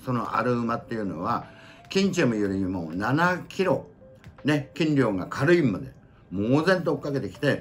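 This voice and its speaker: A man at a moderate pace with very wide pitch swings, music in the background. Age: 70s. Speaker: senior YouTuber. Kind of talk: storytelling about horse racing history.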